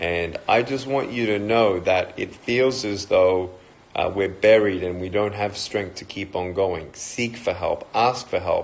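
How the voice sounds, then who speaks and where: With an American accent, a man speaks fairly slowly in a fairly low pitch with ordinary pitch variation. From Australia. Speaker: motivational speaker and evangelist. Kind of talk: motivational talk on a livestream.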